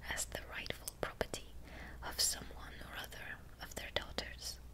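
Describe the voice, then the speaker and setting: A whispering voice goes at a moderate pace over noticeable background noise. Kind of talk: narration. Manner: soft-spoken, whispery, relaxing.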